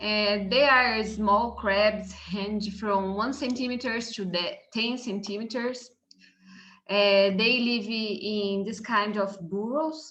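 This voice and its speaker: Speaking with a Brazilian Portuguese accent, a woman has a fairly high pitch and a bright, sharp tone. She talks at a very slow pace with fairly even intonation. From Brazil, São Paulo. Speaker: university professor. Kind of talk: seminar lecture. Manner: halting, many hesitations.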